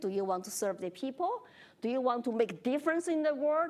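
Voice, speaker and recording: A woman speaks at a fairly quick pace with a high pitch. She has a Chinese accent. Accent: Chinese accent, noticeable. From China. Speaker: congressional candidate. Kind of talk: moderated forum discussion.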